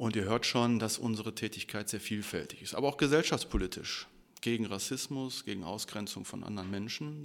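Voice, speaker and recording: This is a man with an unremarkable speaking voice and a fairly low pitch. The recording is very clean, with a silent background. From Ruhr area, Germany (Bottrop). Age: 40s. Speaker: trade union official. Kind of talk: casual interview. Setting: union office.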